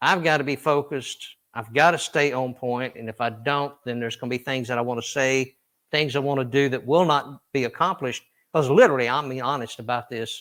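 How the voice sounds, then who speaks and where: In a very clean recording with a silent background, a man with a Southern US accent speaks at a medium pitch and a fairly quick pace with fairly even intonation. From US South, Tennessee. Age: 60s. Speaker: country singer. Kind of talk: interview.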